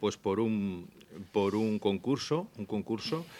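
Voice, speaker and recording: Fairly low in pitch, a man with an unremarkable speaking voice talks fairly slowly with ordinary pitch variation. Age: 60s. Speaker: radio news presenter. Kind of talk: interview answering children's questions. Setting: school room with live audience of children.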